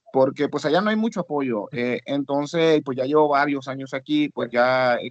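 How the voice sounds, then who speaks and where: The man's voice is fairly high-pitched with ordinary pitch variation, heard in a dry, close sound with no echo. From Honduras. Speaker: student, rapper. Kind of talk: class discussion.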